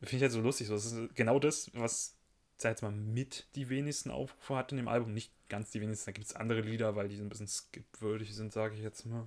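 The man talks at a very fast pace with a medium pitch. The recording is very clean, with a silent background. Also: fairly even intonation. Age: 20s. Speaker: podcast co-host. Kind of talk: casual chat. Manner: hesitant, many fillers.

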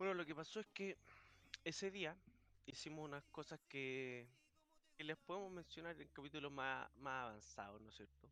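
A man with a Chilean accent speaks at a moderate pace and fairly high pitch in a bright, sharp tone, with long, frequent pauses and big swings in loudness. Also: lively intonation. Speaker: podcast host. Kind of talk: casual chat. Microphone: echo on his stream.

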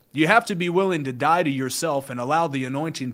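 An unremarkable speaking voice belongs to this man, who has a fairly high pitch and an American accent. He talks at a fairly quick pace with lively intonation. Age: 20s. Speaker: online evangelist. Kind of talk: casual chat with preaching.

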